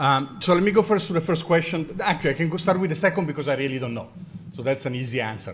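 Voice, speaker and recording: Talking at a very fast pace, a man with an Italian accent has a fairly high pitch and ordinary pitch variation. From Italy. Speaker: mathematics professor and university president. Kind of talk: lecture Q&A.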